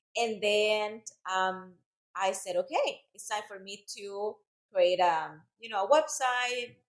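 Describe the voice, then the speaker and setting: In a Central American Spanish accent, a woman speaks at a medium pitch. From Central America (El Salvador, raised in Costa Rica). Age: 30s. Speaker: fitness instructor and business owner. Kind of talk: casual interview.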